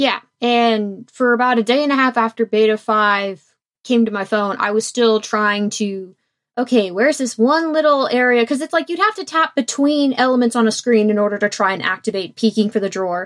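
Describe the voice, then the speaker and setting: A woman's fairly high-pitched, fairly quick voice with ordinary pitch variation, a normal speaking voice against a quiet background. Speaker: podcast co-host. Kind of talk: casual chat. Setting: video call.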